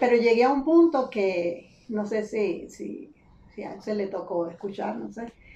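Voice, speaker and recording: Over noticeable background noise, a woman talks at a fairly high pitch and a fairly slow pace. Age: 50s. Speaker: retired literature teacher. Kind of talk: casual chat.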